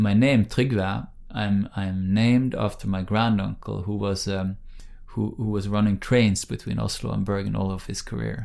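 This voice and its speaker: A man with a Norwegian accent speaks at a moderate pace. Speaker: think tank director, former politician. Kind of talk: interview. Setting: in person, on location. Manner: halting, many fillers.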